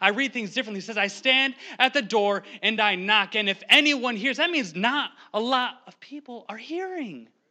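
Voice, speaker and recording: A man's raised, projected voice at an extremely high pitch, bright, sharp and animated in tone, with lively intonation, big swings in loudness and a quiet background. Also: moderate pace. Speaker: lay preacher, pastor's son. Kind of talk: sermon. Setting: church. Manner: animated, sometimes yelling.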